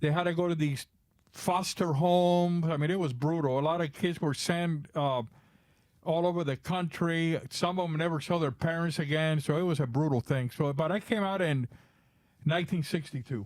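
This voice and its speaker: At a moderate pace and with very even loudness, the speaker uses ordinary pitch variation and a Spanish accent. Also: man, fairly high pitch for a man. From Cuba, raised in Florida from age ten. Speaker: drummer and drum bag maker. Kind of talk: podcast interview. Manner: halting, with restarts.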